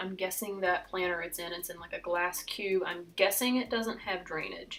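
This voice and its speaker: A woman with a West Virginian accent, a moderate pace and ordinary pitch variation. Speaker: succulent gardener. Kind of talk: casual talk to camera.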